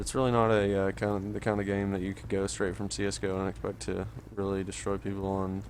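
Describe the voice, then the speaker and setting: A man talks quietly at a very fast pace, his pitch very deep and low with ordinary variation. The room echo is audible and the background noise noticeable. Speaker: gaming youtuber. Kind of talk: gameplay commentary. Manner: quiet, low energy.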